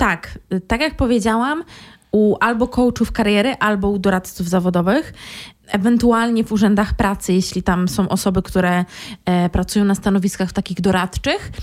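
A plain, everyday voice at a moderate pace, with very even loudness and ordinary pitch variation. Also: woman, medium pitch for a woman. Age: 20s. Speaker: career coach. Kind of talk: casual chat.

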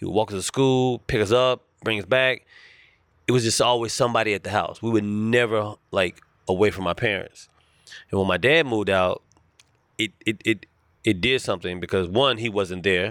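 With an American accent, a man in an unremarkable speaking voice talks at a moderate pace with a fairly low pitch and ordinary pitch variation, in a very clean recording with a silent background and a dry, close sound with no echo. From US South, Charlotte, North Carolina. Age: 40s. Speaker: comedian. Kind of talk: casual chat.

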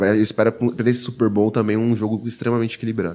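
A man speaks in a fairly low voice. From São Paulo, Brazil. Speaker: NFL podcast panelist. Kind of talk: sports analysis chat.

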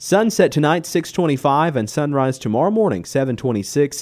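Dark and mellow, this man's voice has a relaxed tone. His pitch swings very widely. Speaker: local radio host. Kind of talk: local radio weather report, reading temperatures, wind and barometric readings. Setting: radio studio. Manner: relaxed, conversational delivery with frequent uh fillers; steady, methodical rundown of figures.

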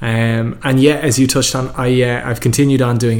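A man at medium pitch with fairly even intonation, over noticeable background noise. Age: 30s. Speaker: entrepreneur and event organiser. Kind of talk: interview. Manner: hesitant, many fillers.

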